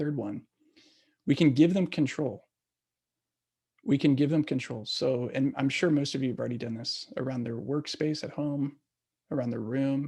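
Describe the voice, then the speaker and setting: A man with a fairly high pitch and a dark, mellow tone speaks at a moderate pace, showing ordinary pitch variation and long, frequent pauses. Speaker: parent workshop presenter. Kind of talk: online workshop talk.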